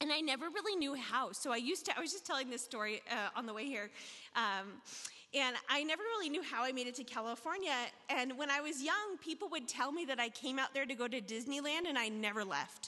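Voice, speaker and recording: A woman with a high pitch and a bright, sharp tone talks at a very fast pace in a raised, projected voice with lively intonation. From US South (Tennessee, Arkansas). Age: 40s. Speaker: recovery speaker sharing her story. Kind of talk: testimony at recovery meeting. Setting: stage with audience. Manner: casual, conversational with fillers.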